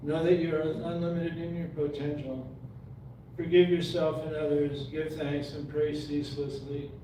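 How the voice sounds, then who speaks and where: Flat and monotone, a man with an American accent speaks at a fairly high pitch amid noticeable background noise and audible room echo. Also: moderate pace. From Montana. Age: 70s. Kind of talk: reading aloud.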